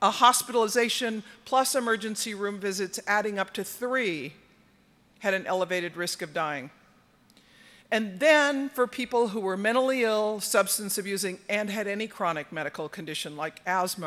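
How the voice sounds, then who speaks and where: At a moderate pace, an ordinary speaking voice carries lively intonation over a very clean recording with a silent background. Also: woman. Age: 60s. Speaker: homelessness campaign organizer. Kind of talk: conference talk.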